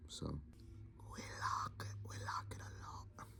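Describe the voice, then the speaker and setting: A somewhat breathy man speaks with a very deep, low pitch. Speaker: voice actor. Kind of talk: casual talk to camera.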